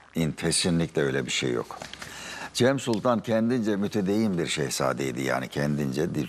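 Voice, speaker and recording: A man's very deep, low voice with very wide pitch swings at a moderate pace over noticeable background noise. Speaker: history professor. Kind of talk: interview.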